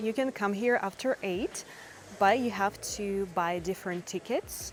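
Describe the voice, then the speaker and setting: Fairly slow, lively speech in a Russian accent, with music in the background. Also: woman. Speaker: language teacher and travel vlogger. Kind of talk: travel vlog narration. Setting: outdoors.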